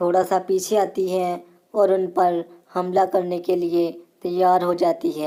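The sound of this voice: An unforced reading voice carries the whole clip.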